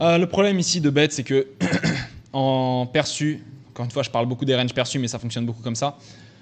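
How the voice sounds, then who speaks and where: A man talks at a very fast pace, broken by long, frequent pauses. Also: medium pitch for a man, ordinary pitch variation. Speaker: poker coach. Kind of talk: gameplay commentary.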